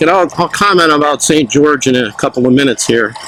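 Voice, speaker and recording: A fairly high-pitched man talks while noticeable background noise fills the clip. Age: 60s. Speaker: motovlogger, retiree. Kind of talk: casual vlog narration while riding. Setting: outdoors on a motorcycle, helmet camera.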